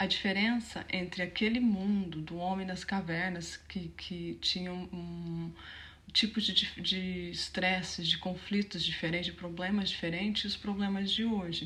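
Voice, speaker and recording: A soft-spoken woman at a medium pitch talks fairly slowly, her intonation monotone and flat. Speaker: mind coach. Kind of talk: online teaching talk. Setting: home.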